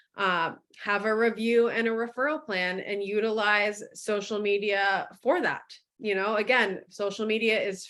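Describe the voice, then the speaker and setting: With fairly even intonation, a normal speaking voice proceeds fairly slowly. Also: woman. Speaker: marketing director presenting a webinar. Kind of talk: webinar presentation.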